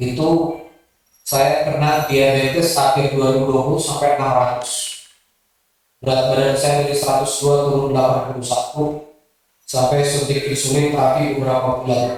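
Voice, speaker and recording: Monotone, flat intonation at a moderate pace comes through with audible room echo. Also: man, fairly high pitch for a man. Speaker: Islamic preacher. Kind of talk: sermon. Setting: mosque with audience.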